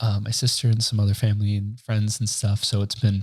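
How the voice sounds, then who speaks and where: A man's somewhat breathy voice, fairly low in pitch, with a dark, mellow tone. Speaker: podcast host. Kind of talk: casual solo podcast talk. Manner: casual, halting with fillers.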